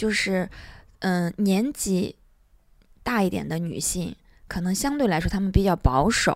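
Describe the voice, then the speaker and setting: In a very clean recording with a silent background, a woman talks at a medium pitch and a fairly slow pace. Her intonation is lively, broken by long, frequent pauses. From Turpan, Xinjiang, China. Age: 30s. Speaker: entrepreneur. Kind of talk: interview conversation.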